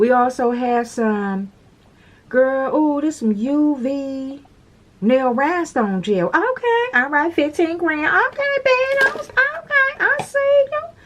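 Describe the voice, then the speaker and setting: A woman's very slow speech against noticeable background noise. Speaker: nail tutorial creator. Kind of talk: tutorial. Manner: animated.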